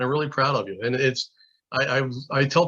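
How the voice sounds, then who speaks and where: This man's voice sits fairly high in pitch, with a bright, sharp tone. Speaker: state alcohol regulator. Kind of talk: conference presentation. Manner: fast.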